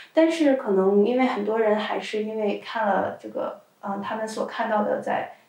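Speaking at a moderate pace with hardly any pauses, a woman is heard over noticeable background noise. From China. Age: 20s. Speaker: adult video content creator. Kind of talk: casual interview.

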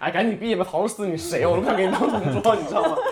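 Talking at a very fast pace, a man with a high pitch and ordinary pitch variation is heard with audible room echo and noticeable background noise. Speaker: podcast host. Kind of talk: casual chat.

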